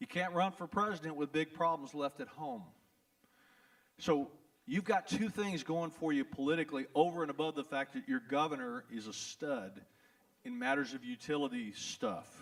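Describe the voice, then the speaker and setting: With a Texas accent, a man speaks at a fairly high pitch. He moves at a moderate pace, his pitch swinging very widely. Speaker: trial lawyer. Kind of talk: town hall talk. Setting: event hall with audience. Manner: animated.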